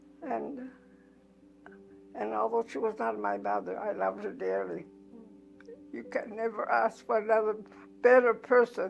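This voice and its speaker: With music in the background, a woman speaks at a moderate pace, stopping for long, frequent pauses. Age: 90s. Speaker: church elder, mother. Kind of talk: interview.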